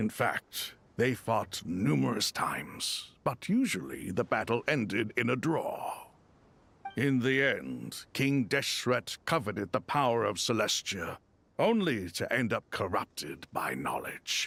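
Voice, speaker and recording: A man puts on a character voice at medium pitch, speaking at a fairly slow pace. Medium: video game. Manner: solemn, measured.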